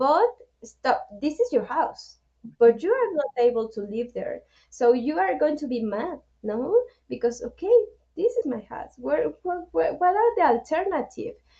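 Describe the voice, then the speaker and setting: Speaking in a Spanish accent at a fairly slow pace, a woman has a high pitch, a dark, mellow tone and very wide pitch swings. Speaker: nonprofit director. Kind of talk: webinar interview. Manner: halting.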